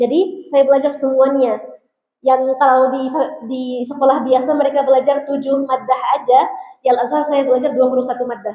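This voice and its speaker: A woman with an Arabic accent speaks at a fairly quick pace with a high pitch. Her intonation stays fairly even. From Egypt. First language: Arabic (speaking Indonesian). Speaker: Islamic preacher. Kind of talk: religious talk to students. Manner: casual, conversational.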